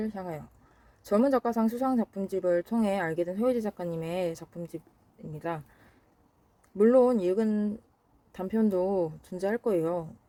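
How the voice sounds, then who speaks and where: Her voice has a dark, mellow tone at a medium pitch for a woman. She speaks at a fairly slow pace, and the sound is dry and close with no echo. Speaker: book vlogger. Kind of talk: casual vlog talk. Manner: halting, tongue-tied.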